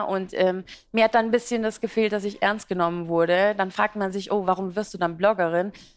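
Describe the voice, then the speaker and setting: A woman with a medium pitch speaks at a moderate pace, keeping her intonation fairly even. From Iraq, emigrated to Germany as a child. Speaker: fashion and beauty blogger. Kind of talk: interview at live business talk event. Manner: talkative, many fillers.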